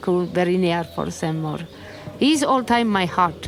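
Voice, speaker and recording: A woman with an Estonian accent, with noticeable background noise. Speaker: Buddhist nun. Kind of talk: interview testimony. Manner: halting.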